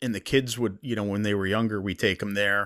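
The recording is very clean with a silent background and a dry, close sound with no echo, as a man speaks with an American accent. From US Northeast. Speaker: podcast host. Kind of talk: casual interview chat. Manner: halting, many fillers.

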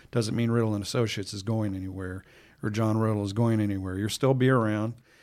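With an American accent, a man with an unremarkable speaking voice talks at a fairly quick pace in a fairly low pitch. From Chicago. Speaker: trade magazine podcast host. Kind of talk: interview. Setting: in guest's office.

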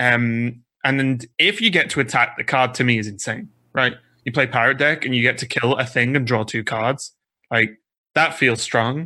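A man talks at a moderate pace and medium pitch with fairly even intonation, on a very clean recording with a silent background. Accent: British. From UK. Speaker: Hearthstone caster. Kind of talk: casual chat.

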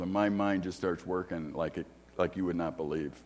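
Speaking with an American accent, a man with a very deep, low pitch keeps a moderate pace and ordinary pitch variation. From US Midwest, Chicago. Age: 60s. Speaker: guest preacher and theology teacher. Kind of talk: sermon. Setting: church.

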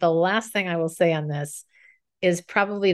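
A woman with an American accent uses an ordinary speaking voice at medium pitch and a moderate pace, with ordinary pitch variation and a quiet background. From Minnesota. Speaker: communication coach and speaker. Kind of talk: podcast interview.

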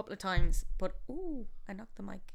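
A woman with a Galway accent and ordinary pitch variation, in a very clean recording with a silent background. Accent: Irish, Galway. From Galway, Ireland. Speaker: theatre maker and actor. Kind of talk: casual interview chat.

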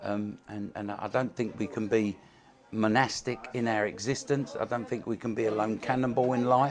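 Noticeable background noise runs under the clip. A man speaks with fairly even intonation. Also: medium pitch for a man, moderate pace. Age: 70s. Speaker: former powerlifting champion, carpenter. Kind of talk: testimony, personal story. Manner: earnest, repeats words, halting.

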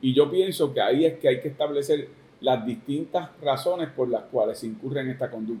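Here is a man with an ordinary speaking voice and fairly high pitch. He talks at a fairly quick pace with ordinary pitch variation. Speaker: politician, gubernatorial candidate. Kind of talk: political interview.

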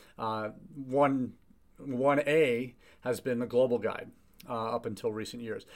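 Man speaking with fairly even intonation in a very clean recording with a silent background. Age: 50s. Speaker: international education consultant and podcast host. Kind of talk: solo live chat monologue. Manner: halting, many fillers and repetitions.

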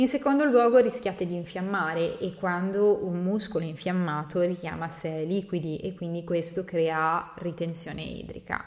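A woman is speaking. Her pace is moderate. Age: 20s. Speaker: fitness coach. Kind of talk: podcast monologue.

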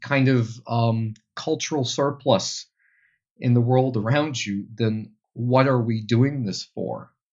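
A man speaks with a Dutch accent. His pitch is medium and his intonation fairly even. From Belgium, Antwerp. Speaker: tour guide. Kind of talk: interview conversation.

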